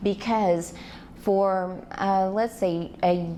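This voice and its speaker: A woman speaks with medium pitch and fairly even intonation. Audible room echo surrounds her voice. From Arkansas (Fort Smith). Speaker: public speaker, activist. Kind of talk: lecture-style presentation. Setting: stage with audience, PA system.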